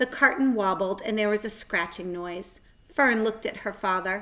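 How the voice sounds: A natural reading voice carries the clip.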